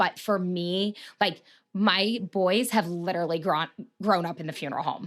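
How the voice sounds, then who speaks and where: A woman talks in a Midwestern American accent. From Marion, Ohio. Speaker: funeral director. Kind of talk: interview answer.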